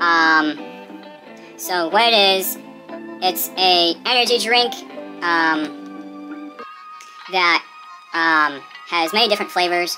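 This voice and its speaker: A man speaks very slowly, with long, frequent pauses and clear music in the background. His voice is high-pitched and his pitch swings very widely. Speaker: vlogger. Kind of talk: casual talk to camera. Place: home room.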